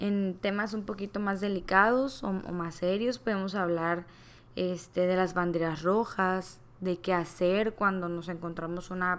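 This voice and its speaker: Her delivery very slow, the woman keeps her intonation fairly even. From Mexico, Culiacán, Sinaloa. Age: 20s. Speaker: podcast host. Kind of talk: casual monologue.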